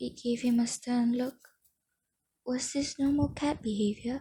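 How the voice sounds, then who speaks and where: Soft-spoken words come out at a very slow pace. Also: woman. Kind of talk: audiobook-style reading of a novel aloud. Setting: home recording with added ambient background noises. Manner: soft-spoken, quiet.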